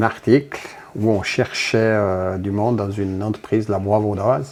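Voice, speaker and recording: A man speaks at a fairly slow pace and a fairly low pitch over noticeable background noise. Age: 60s. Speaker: factory worker and union delegate. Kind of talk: interview. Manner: halting, many hesitations.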